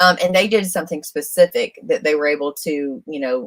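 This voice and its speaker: The speech comes at a fairly quick pace in a Southern accent, with ordinary pitch variation. The sound is dry and close, with no echo. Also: woman. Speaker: RV solar consultant, livestream co-host. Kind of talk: livestream Q&A. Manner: casual, halting with many fillers.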